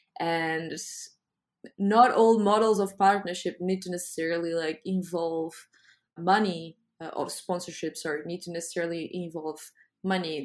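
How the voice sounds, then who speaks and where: A woman speaks with a Portuguese accent in a fairly low voice and fairly even intonation. The recording is very clean, with a silent background. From Lisbon, Portugal. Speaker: arts foundation founder. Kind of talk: casual interview.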